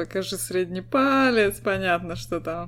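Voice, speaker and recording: Fairly slow and fairly low-pitched, a woman speaks with very wide pitch swings in a very clean recording with a silent background. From Estonia. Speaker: podcast co-host. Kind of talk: casual chat.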